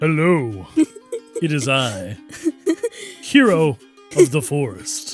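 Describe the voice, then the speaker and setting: A put-on character voice at a very slow pace, with long, frequent pauses and faint music in the background. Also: man, fairly high pitch for a man. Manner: heroic, over-the-top.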